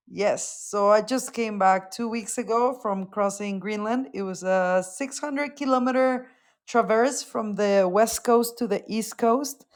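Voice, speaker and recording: Speaking with a Mexican accent, a woman with a fairly high pitch and ordinary pitch variation talks at a fairly slow pace with hardly any pauses, on a very clean recording with a silent background. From Mexico, León, Guanajuato. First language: Spanish. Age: 20s. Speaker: mountaineer and Arctic explorer. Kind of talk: podcast interview.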